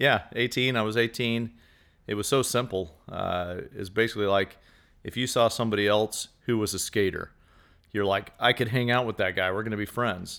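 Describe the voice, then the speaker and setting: The recording is very clean, with a silent background. A man with an ordinary speaking voice, fairly low in pitch, talks at a moderate pace with fairly even intonation. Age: 40s. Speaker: outreach leader. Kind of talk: casual chat.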